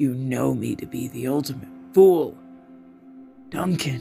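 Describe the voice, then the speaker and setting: Clear music plays in the background as a man puts on a character voice at a fairly slow pace. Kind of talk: solemn, formal. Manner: sad, reflective.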